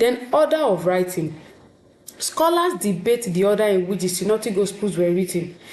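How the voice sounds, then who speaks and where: A woman speaks at a moderate pace with a medium pitch, lively intonation and very even loudness. Audible room echo and noticeable background noise surround her. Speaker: teacher. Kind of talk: lecture.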